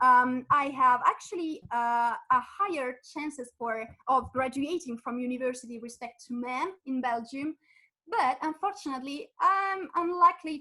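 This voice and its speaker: In an Italian accent, a woman projects a raised voice with a bright, sharp tone, high pitch, and ordinary pitch variation. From Italy. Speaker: physicist and science communicator. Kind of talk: webinar presentation. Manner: halting, many fillers.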